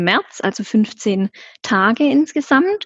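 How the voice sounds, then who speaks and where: A woman with a somewhat breathy, fairly high voice and lively intonation speaks at a very slow pace, the sound dry and close with no echo and the background quiet. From Swabia, southern Germany. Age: 20s. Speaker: travel agency consultant. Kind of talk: interview about travel.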